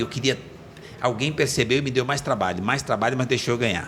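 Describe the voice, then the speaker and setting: This man rattles along at a very fast pace while noticeable background noise plays behind him. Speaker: entrepreneur. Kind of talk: podcast interview, life story. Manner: animated.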